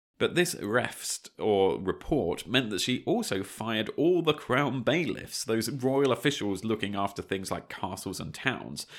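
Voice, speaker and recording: A plain, everyday voice belongs to a man of medium pitch with lively intonation, speaking at a moderate pace. The recording is very clean, with a silent background. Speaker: history podcast co-host. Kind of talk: scripted narration.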